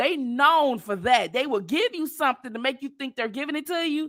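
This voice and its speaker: A woman projects a raised voice with high pitch and a bright, sharp tone. Her intonation is lively and her delivery animated. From Detroit. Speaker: livestream commentator. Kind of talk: casual chat.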